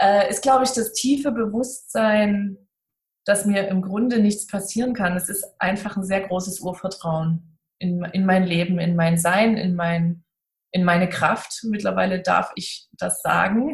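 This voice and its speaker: A woman talks at a fairly slow pace in a somewhat breathy voice of medium pitch. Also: ordinary pitch variation. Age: 30s. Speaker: seminar center owner. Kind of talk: casual interview.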